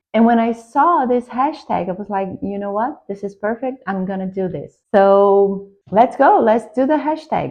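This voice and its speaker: A woman with a Brazilian Portuguese accent, fairly high in pitch, at a moderate pace with lively intonation. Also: hardly any pauses. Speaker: tarot YouTuber. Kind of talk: casual vlog introduction. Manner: slightly halting.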